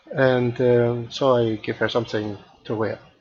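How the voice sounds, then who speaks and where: The delivery is fairly slow, with a monotone, flat intonation. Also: man. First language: not English. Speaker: 3D art tutor streamer; live streamer doing a software demo. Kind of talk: live-stream tutorial; tutorial. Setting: live stream. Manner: halting, many fillers. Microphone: headset.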